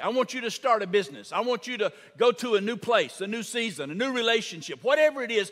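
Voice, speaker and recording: Over a quiet background, a man projects a raised voice with a bright, sharp tone at a moderate pace. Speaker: preacher. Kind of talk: sermon. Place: church. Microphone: headset.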